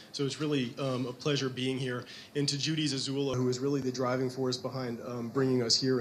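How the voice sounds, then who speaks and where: A man speaks at a very fast pace in a medium pitch with monotone, flat intonation. There is audible room echo and noticeable background noise. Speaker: physician and lecturer. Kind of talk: lecture. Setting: lecture hall with audience, webcast. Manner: halting with fillers.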